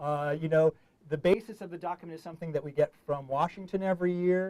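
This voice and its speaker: Intonation holds fairly even. The delivery is very fast. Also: man. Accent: New York. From US Northeast, New York City. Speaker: diplomat, public affairs officer. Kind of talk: online information session presentation. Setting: studio, online call. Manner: hesitant, many filler words.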